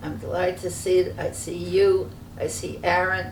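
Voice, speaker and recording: A woman with a New York accent is heard over noticeable background noise, with audible room echo. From New York City (Brooklyn). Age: 90s. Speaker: interviewee recounting family history. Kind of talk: family oral history interview. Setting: sitting together in person.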